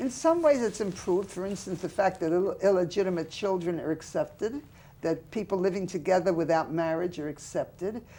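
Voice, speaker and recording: A woman with an American accent and a dark, mellow tone, speaking at a fairly quick pace. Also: medium pitch for a woman, ordinary pitch variation. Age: 80s+. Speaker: memoir author. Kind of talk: interview.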